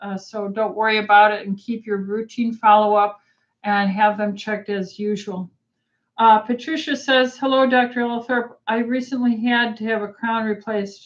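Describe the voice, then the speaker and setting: With an unremarkable speaking voice, a woman talks at a moderate pace in a fairly high pitch and with fairly even intonation. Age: 60s. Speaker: physician. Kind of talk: live Q&A. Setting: livestream. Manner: frequent fillers uh um.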